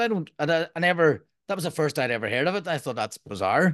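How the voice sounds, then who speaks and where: A man with an Irish accent talking very fast, against a quiet background. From Ireland. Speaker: podcast host and permaculture designer. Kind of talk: casual interview.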